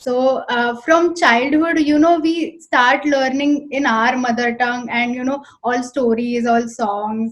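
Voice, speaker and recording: Speaking at a fairly slow pace with a Marathi accent, a woman keeps her high-pitched voice in fairly even intonation. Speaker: interviewer. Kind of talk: interview.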